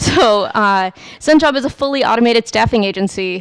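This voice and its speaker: A woman with an American accent speaks in a plain, everyday voice at a moderate pace, with ordinary pitch variation and a quiet background. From United States. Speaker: software developer, conference speaker; conference speaker. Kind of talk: technical talk. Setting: meetup talk with live audience. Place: hall. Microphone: headset.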